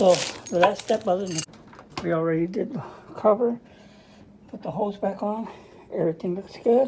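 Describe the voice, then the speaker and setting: A woman's medium-pitched voice at a moderate pace, with ordinary pitch variation, big swings in loudness, long and frequent pauses, and noticeable background noise. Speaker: appliance repair technician. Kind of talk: tutorial. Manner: casual.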